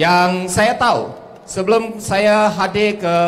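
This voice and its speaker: This man's voice sits high in pitch and moves at a very slow pace. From Malaysia. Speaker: politician. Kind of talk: campaign rally speech. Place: stage. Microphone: handheld.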